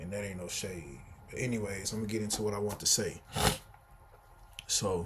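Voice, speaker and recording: Long, frequent pauses in a man's fairly quick speech, with an American accent, a fairly low pitch, somewhat breathy delivery, fairly even intonation and audible room echo. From Texas, Houston. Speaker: vlogger. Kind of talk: casual vlog monologue. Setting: indoors at home, sitting in a room.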